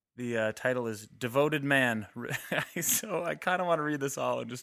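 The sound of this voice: This is an unforced reading voice. It is an unforced reading voice throughout.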